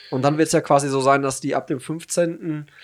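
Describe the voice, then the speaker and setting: A man's normal speaking voice, fairly high-pitched with fairly even intonation and a fairly quick pace, in a very clean recording with a silent background. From Hagen, Germany. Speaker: podcast host. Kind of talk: casual chat.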